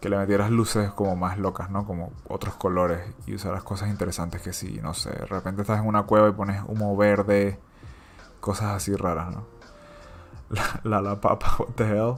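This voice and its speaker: Over music in the background, a man with a Latin American accent speaks very fast in a fairly low pitch with fairly even intonation. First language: Spanish. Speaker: digital artist and comic creator. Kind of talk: casual livestream chat. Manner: casual, hesitant with fillers.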